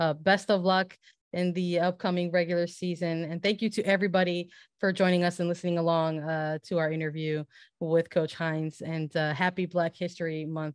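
A woman talks at a fairly quick pace in a fairly low pitch, with monotone, flat intonation. The sound is dry with no echo, over a quiet background. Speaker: soccer podcast host and sports writer; soccer podcast host. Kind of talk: interview. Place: home room. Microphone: studio mic.

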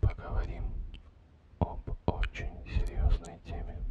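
Whispering at a very slow pace, a man speaks. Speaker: ASMR creator. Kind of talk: ASMR session. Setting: close-up stereo microphone with rain sounds. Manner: whispered. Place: home room.

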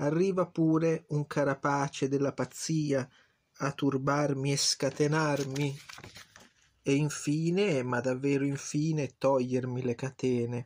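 At a very slow pace, a man speaks at a fairly high pitch with very even loudness. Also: fairly even intonation. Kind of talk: poet reading aloud. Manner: halting, hesitant, with repeated words and self-corrections.

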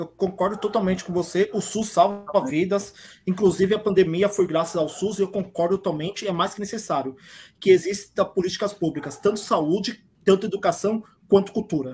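Moderate pace over music playing in the background. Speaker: channel co-host. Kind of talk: livestream interview. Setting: video call.

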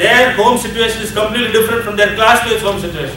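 Light background noise and audible room echo are present in the clip. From India. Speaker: addiction ministry leader. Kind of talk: seminar lecture. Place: hall. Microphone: camera far.

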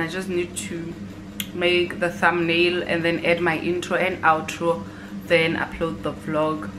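Noticeable background noise behind a woman speaking at a fairly low pitch. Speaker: university student vlogger. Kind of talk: casual vlog chat. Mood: relaxed, lazy Sunday. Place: home room.

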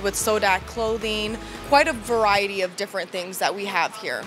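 A woman with fairly even intonation and clear music in the background. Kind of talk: interview answer. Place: shop. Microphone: handheld.

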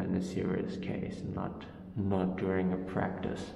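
With music playing behind him and audible room echo, a man speaks at a fairly slow pace in a fairly low pitch. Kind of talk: casual exploration commentary. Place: tunnel cave. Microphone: camera far.

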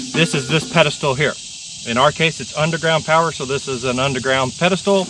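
A man's voice comes through dry with no echo amid noticeable background noise. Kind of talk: tutorial. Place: open country. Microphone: camera far.

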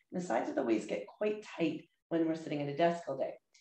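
With a very deep, low pitch and ordinary pitch variation, a woman speaks over a quiet background, with room echo audible. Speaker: yoga instructor. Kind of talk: guided chair yoga class with breathing cues. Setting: video lesson to camera. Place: home room. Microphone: webcam.

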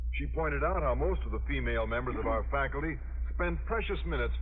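Over light background noise, a man with a very deep, low pitch talks at a fairly quick pace. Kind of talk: old-time radio comedy acting, scripted sitcom. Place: studio. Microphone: old recording.

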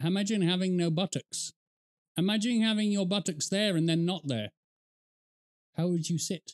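Speaking at a moderate pace and a high pitch, a man keeps very even loudness and takes long, frequent pauses. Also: ordinary pitch variation, quiet background. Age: 30s. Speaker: gaming YouTuber reacting to a video. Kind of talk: casual reaction commentary. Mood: amused, joking. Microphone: studio mic.

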